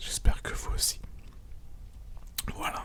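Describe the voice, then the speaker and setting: Whispering, a man keeps a relaxed tone. Noticeable background noise is present. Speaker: ASMR creator. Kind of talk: casual talk to camera. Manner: soft-spoken, relaxed.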